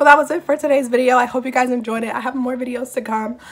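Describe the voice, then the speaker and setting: A woman at a very fast pace with fairly even intonation. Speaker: vlogger. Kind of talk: casual mukbang vlog chat. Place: home room. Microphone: phone near.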